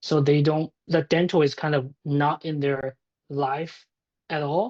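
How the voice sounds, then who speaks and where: The sound is dry and close with no echo as a man with a Chinese accent speaks at a fairly high pitch, a fairly slow pace and with fairly even intonation. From China. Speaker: tech startup founder. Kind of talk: podcast interview.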